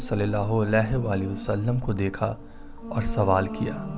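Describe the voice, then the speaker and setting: Over music in the background, a man speaks with a fairly low pitch. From Pakistan. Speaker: voice over artist. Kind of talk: religious story narration.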